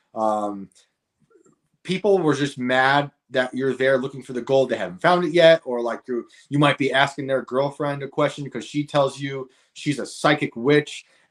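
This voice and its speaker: A man with a New York accent speaks at a moderate pace, his pitch fairly high for a man and his pitch variation ordinary. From New York state, rural upstate. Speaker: author and comedian. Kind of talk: casual chat.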